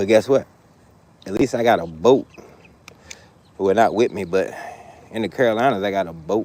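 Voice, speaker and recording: Pausing long and often, a man talks at a fairly quick pace with a fairly low pitch and ordinary pitch variation. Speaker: fishing livestreamer. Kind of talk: casual live chat while fishing. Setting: outdoors by the water. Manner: loud.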